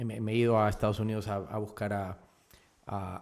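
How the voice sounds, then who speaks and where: At a moderate pace, a man with a fairly low pitch speaks in a monotone, flat manner on a very clean recording with a silent background. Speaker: actor and director. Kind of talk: casual interview chat.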